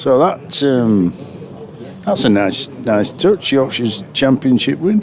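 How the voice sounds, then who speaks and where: A man at a very slow pace, with very wide pitch swings, very even loudness and noticeable background noise. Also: medium pitch for a man. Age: 60s. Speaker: cricket co-commentator. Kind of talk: live commentary. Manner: halting.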